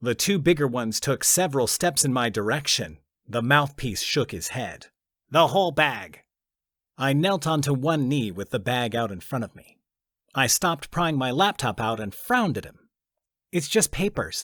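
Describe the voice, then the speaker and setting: A man with a normal speaking voice and a fairly high pitch talks at a moderate pace with lively intonation. The recording is very clean, with a silent background. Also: big swings in loudness. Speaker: audiobook narrator. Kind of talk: audiobook narration, first-person fiction.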